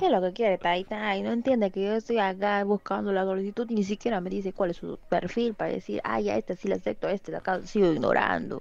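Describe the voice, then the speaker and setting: A woman speaks at a very fast pace in a Peruvian jungle accent, with hardly any pauses. The sound is dry with no echo. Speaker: streamer. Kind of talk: casual stream commentary. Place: home room. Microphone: studio mic.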